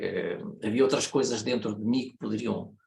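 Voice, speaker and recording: A man with a European Portuguese accent and vocal fry. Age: 70s. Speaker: consultant and systemic facilitator. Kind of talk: lecture. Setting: online meeting. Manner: hesitant, many fillers.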